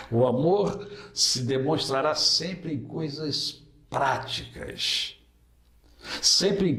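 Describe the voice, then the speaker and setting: Amid audible room echo and noticeable background noise, a man with a fairly high pitch speaks at a very slow pace with lively intonation. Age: 60s. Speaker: pastor. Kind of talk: interview.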